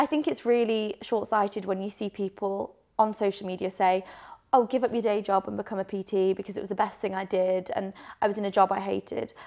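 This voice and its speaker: With a Yorkshire accent, a woman speaks at a fairly quick pace, her medium pitch and fairly even intonation. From northern England, Leeds. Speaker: doctor and personal trainer. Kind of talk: interview.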